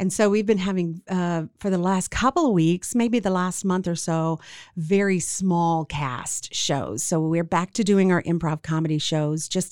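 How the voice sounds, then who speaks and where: A woman with an American accent speaks slowly-ish, at a fairly slow pace and fairly low pitch, in an ordinary speaking voice. The recording is very clean, with a silent background. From Central Texas. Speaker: theater owner and director. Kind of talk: casual interview.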